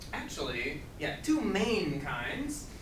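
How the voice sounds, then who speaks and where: A man at an extremely high pitch and a very slow pace, with noticeable background noise. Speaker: ESL teacher. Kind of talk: grammar lesson to camera. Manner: slow, clear.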